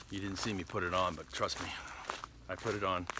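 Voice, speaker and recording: A man speaks in a fairly low pitch at a moderate pace. Noticeable background noise runs underneath. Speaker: hiking vlogger. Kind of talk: casual vlog narration while hiking. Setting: outdoors on nature trail. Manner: conversational, many fillers.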